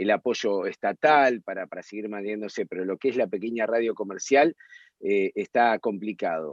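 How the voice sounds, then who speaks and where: Ordinary shifts in pitch mark the man's speech, delivered at a moderate tempo. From Argentina. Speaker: radio and TV host. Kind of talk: interview answer.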